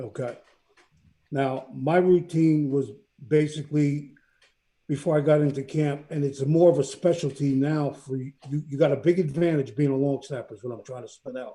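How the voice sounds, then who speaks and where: At a moderate pace, a man talks with a fairly high pitch and fairly even intonation. His tone is dark and mellow, and somewhat breathy. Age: 60s. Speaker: sports show co-host, former football player and coach. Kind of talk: casual chat.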